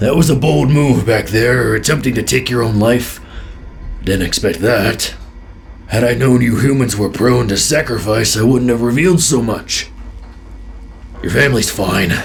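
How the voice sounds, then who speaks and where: Putting on a character voice with a menacing, smug tone, a man talks at a moderate pace and medium pitch, leaving long, frequent pauses over clear background noise. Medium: read story.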